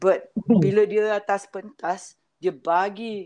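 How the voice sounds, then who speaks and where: A woman speaks at medium pitch with ordinary pitch variation. The background is quiet. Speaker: event manager and music producer. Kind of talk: casual interview.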